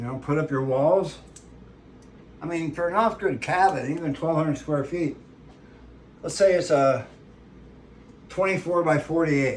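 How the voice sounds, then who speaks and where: Amid noticeable background noise, a man with a fairly high pitch and ordinary pitch variation speaks at a moderate pace, leaving long, frequent pauses. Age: 60s. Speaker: ranch channel host, home cook. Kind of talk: casual cooking tutorial with rambling chat. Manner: casual, conversational with fillers.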